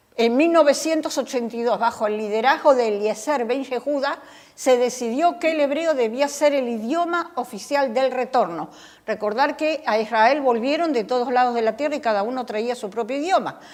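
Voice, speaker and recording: A woman's high-pitched voice, its pitch varying in an ordinary way, moves at a moderate pace. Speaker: Bible study teacher. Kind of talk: Bible study lecture.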